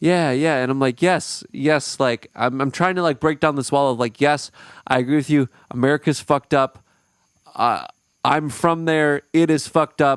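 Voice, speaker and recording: A man speaks at a moderate pace with very even loudness. The sound is dry and close with no echo, on a very clean recording with a silent background. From Minnesota, US. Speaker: podcast host, touring musician. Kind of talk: casual chat. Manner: animated.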